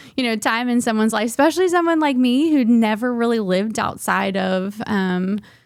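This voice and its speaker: A woman speaks at a moderate pace in an American accent, her pitch fairly high. The recording is very clean, with a silent background. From US South, southeastern Virginia. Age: 30s. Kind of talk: testimony. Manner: halting, many fillers.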